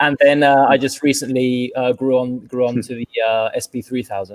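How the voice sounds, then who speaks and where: A man talks at a moderate pace with a British accent. His intonation stays monotone and flat. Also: medium pitch for a man. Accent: British-sounding. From London, England. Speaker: furniture maker and business owner. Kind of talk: interview. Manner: halting.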